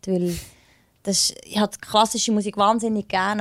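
A woman with an ordinary speaking voice is heard. The sound is dry and close with no echo, on a very clean recording with a silent background. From Bernese Oberland, Switzerland. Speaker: soul singer. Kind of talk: interview.

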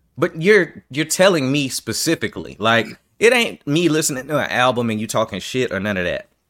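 A man with a fairly high pitch and vocal fry talks at a fairly quick pace with very wide pitch swings on a very clean recording with a silent background. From New York. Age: 40s. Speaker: podcast host, military veteran. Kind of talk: casual chat.

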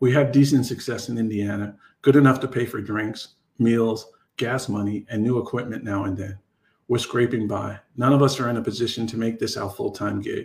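With an American accent, a man talks at a moderate pace and medium pitch in a somewhat breathy voice with fairly even intonation. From New York. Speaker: romance author. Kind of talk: reading aloud.

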